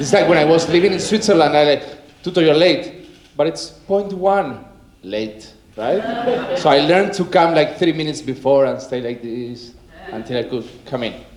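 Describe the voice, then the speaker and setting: Speaking with a Spanish accent at a fairly high pitch, a man is heard with audible room echo and noticeable background noise. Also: lively intonation, moderate pace. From Argentina. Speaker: wellness coach. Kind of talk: conference talk. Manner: casual, energetic.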